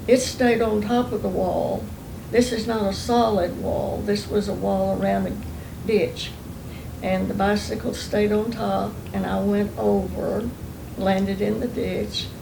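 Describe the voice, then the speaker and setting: In an Oklahoma accent, a woman speaks at a fairly slow pace. Noticeable background noise and audible room echo fill the recording. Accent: Oklahoma Southern US. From Oklahoma, US. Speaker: oral history interviewee. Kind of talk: oral history interview.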